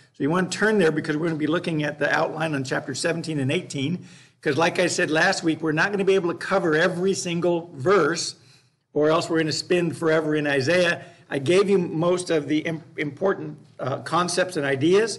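A man talks at a high pitch and a fairly quick pace. His intonation stays fairly even. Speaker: Bible class teacher. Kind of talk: lecture. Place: classroom.

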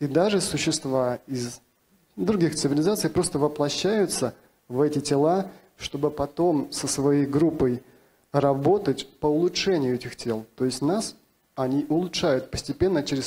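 The tone is dark and mellow. Delivery comes at a moderate pace with ordinary pitch variation. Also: man. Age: 40s. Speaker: channeler and self-described alien contactee; conference panelist. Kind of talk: panel discussion. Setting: conference stage with audience. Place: hall. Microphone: handheld.

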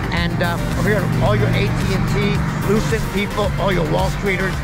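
A man's voice sounds dry with no echo against loud music in the background. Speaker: group ride vlogger. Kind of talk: casual vlog commentary. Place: bicycle. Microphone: helmet.

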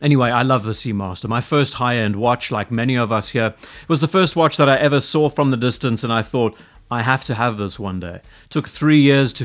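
With ordinary pitch variation, a man talks at a fairly quick pace over a quiet background. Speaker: watch reviewer. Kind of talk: commentary. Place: home room. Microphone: studio mic.

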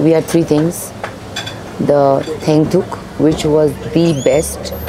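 Fairly low female speech amid noticeable background noise. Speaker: food vlogger. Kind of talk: casual food review vlog chat. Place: cafe. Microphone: lapel.

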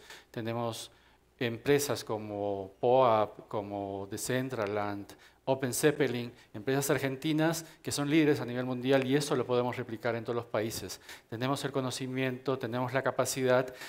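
Speaking in an unremarkable speaking voice, a man keeps a medium pitch, fairly even intonation and a moderate pace. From Peru, Lima; Peru. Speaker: community leader, former corporate executive; panelist. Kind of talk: panel discussion. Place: hall. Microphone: headset.

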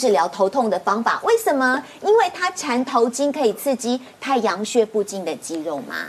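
At a moderate pace, a woman with fairly high pitch speaks with very wide pitch swings. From Taiwan. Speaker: TV health show host. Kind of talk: TV talk show hosting. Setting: TV studio. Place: studio.

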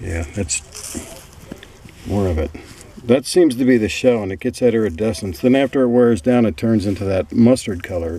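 With long, frequent pauses, a man speaks at a fairly low pitch and a moderate pace in a dry sound with no echo. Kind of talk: casual vlog chat. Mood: calm, mildly excited. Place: open country. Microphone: phone near.

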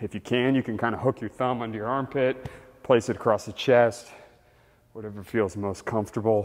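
Over a quiet background, a man talks with an energetic tone at a moderate pace. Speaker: fitness instructor. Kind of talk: follow-along workout demonstration. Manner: energetic, instructive, coaching cues; casual and friendly, counting reps aloud. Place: gym.

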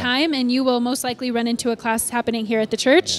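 A woman with a high voice at a very fast pace. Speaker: church staff announcer. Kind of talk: church announcements chat. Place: church.

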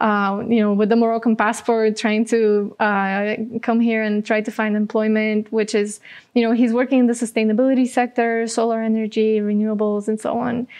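A woman's fairly high, monotone, flat voice in a Bulgarian accent, with very even loudness against a quiet background. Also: moderate pace. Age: 20s. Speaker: social entrepreneur; guest. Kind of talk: interview. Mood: warm, smiling, relaxed. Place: studio. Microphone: lapel.

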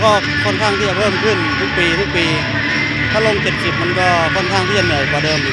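A man talks over loud music playing in the background. The sound is dry, with no echo. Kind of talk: interview answer. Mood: calm, composed. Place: hall. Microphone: handheld.

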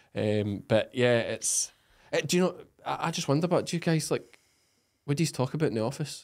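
A man speaks at a fairly quick pace with a Scottish accent, his pitch varying in an ordinary way against a quiet background. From Scotland. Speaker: podcast host and sheep farmer; podcast host. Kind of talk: casual interview. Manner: animated. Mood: jokey, animated. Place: studio. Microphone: studio mic.

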